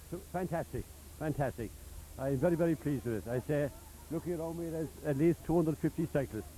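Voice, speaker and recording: Rushing at a very fast pace, a man speaks with vocal fry, a dark, mellow tone, a fairly high pitch and ordinary pitch variation. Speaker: charity branch chairman and event organiser. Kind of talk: on-location interview. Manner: halting, with many fillers.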